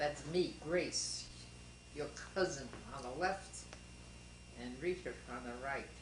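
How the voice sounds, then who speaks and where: A woman with a New York accent speaks at a fairly slow pace, with audible room echo and noticeable background noise. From Brooklyn, New York. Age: 70s. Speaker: family elder interviewed. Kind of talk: family history interview.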